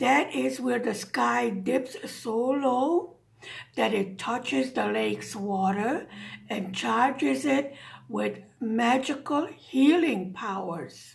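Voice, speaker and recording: Putting on a raspy character voice, a woman speaks very slowly at a fairly high pitch with very wide pitch swings. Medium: read story.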